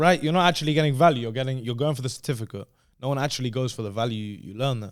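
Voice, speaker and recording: Speech comes at a very fast pace with ordinary pitch variation and big swings in loudness. The recording is very clean, the background silent. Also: man, medium pitch for a man. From London, England. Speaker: dating coach, social media creator. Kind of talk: casual podcast chat.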